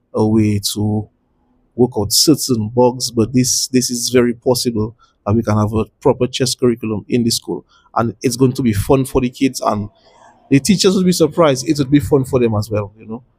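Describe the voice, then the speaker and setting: A man speaks at medium pitch and a moderate pace in a dark, mellow, somewhat breathy tone with ordinary pitch variation. The sound is dry and close with no echo. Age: 50s. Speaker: chess federation president. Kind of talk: interview. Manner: halting.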